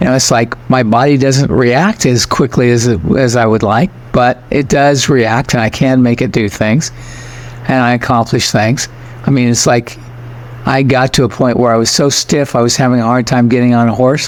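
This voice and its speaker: A man speaks at a medium pitch and a moderate pace, with fairly even intonation and very even loudness. Noticeable background noise is present. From United States. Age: 80s+. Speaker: spiritual teacher. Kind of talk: podcast interview.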